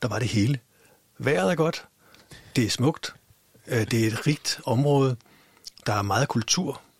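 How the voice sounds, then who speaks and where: Intonation is lively in this man's speech. He has a medium pitch and a fairly slow pace. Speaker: podcast host. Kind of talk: casual interview. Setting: studio. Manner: halting.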